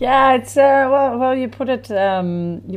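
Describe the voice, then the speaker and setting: A woman speaks with a Dutch accent. Her intonation is lively. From Netherlands, village near Amsterdam. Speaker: festival founder. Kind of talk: casual chat. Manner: halting.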